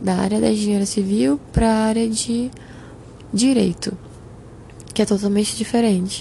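A woman speaks at a moderate pace and medium pitch, her loudness very even, with long, frequent pauses. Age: 20s. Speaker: podcast host. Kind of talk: personal testimony monologue.

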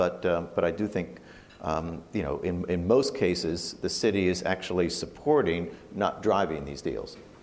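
A man's very deep, low voice at a fairly slow pace, with audible room echo. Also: ordinary pitch variation. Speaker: professor and former banker. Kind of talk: panel discussion.

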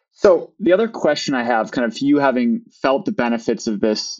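A man with a Midwestern American accent talks at a medium pitch. His intonation is lively. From US Midwest. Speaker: business owner. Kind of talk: casual interview conversation.

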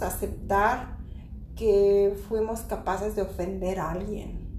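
The woman talks extremely slowly. Her voice echoes audibly in the room. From Mexico. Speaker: podcast host, spiritual teacher. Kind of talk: casual chat on spirituality.

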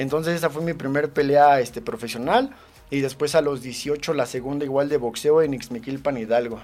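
A man with a fairly high pitch talks at a moderate pace, using an ordinary speaking voice with ordinary pitch variation. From Mexico, State of Mexico. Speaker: professional MMA fighter and gym owner. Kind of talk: interview.

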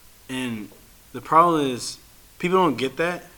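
There is noticeable background noise behind this man. He speaks with an American accent at a moderate pace, his intonation lively. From Chicago area, US Midwest. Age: 20s. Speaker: podcast host. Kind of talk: casual chat.

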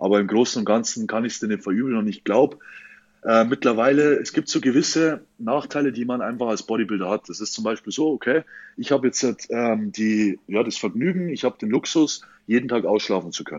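This is a normal speaking voice with ordinary pitch variation. The pace is fairly quick. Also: man, medium pitch for a man. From Bavaria, Franconia. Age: 20s. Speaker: professional bodybuilder. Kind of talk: casual interview.

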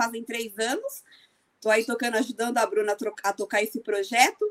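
An ordinary speaking voice from a woman, fairly high-pitched with ordinary pitch variation, at a moderate pace, in a dry, close sound with no echo. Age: 40s. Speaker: amateur runner and running group admin. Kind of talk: podcast interview.

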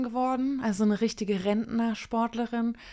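At a moderate pace, a woman speaks in a fairly high pitch with a dark, mellow tone and monotone, flat intonation. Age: 30s. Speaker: former Olympic sprinter and journalist. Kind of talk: casual chat.

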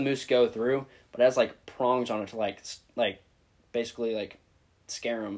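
Here is a man with a plain, everyday voice, medium in pitch. He speaks at a fairly quick pace with fairly even intonation. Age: 20s. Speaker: college student. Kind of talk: casual chat.

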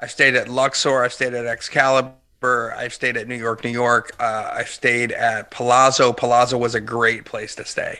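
Someone with an American accent speaks in a bright, sharp tone with monotone, flat intonation and hardly any pauses. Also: man, medium pitch for a man, moderate pace. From Pennsylvania, US. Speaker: business author and speaker. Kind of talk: podcast interview.

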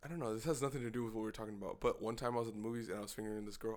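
A man talks at a very fast pace. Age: 20s. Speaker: podcast co-host. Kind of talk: casual chat.

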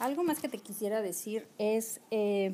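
Woman with a plain, everyday voice, fairly high pitch, and a fairly slow pace. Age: 40s. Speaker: podcast host. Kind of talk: solo podcast monologue.

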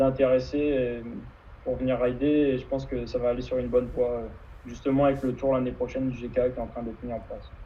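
Through audible room echo, a man with medium pitch speaks at a moderate pace with monotone, flat intonation. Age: 20s. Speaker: kitesurfer and student. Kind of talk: interview. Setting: live video stream.

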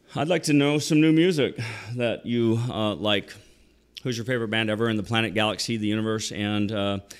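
Here a man talks at a moderate pace with a fairly low pitch. The pitch varies by an ordinary amount. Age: 50s. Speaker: podcast host and real estate agent. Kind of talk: motivational talk. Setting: studio. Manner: animated.

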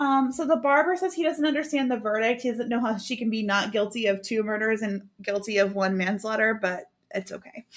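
A woman with an ordinary speaking voice, fairly high pitch, ordinary pitch variation and a fairly quick pace. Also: very clean recording, silent background. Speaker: true crime podcast host. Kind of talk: casual chat, recapping a case.

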